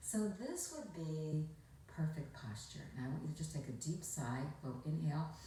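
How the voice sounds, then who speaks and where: Over noticeable background noise, a woman talks in a very deep, low voice. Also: ordinary pitch variation, moderate pace. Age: 60s. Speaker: former shopping channel host and commercial actor. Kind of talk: instructional talk to camera. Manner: relaxed, conversational.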